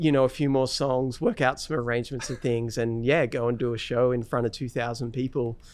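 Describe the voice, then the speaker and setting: With an Australian accent, a man talks in a fairly even intonation. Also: medium pitch for a man. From Australia, Newcastle NSW. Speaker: fingerstyle guitarist. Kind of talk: interview. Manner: halting, many fillers.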